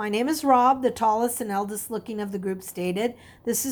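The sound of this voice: An unforced reading voice moves through ordinary changes in pitch.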